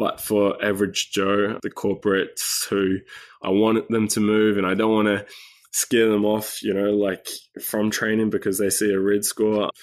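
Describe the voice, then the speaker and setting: A man with a New Zealand accent, fairly low in pitch, at a moderate pace, with monotone, flat intonation and very even loudness. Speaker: health coach. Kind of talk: interview conversation.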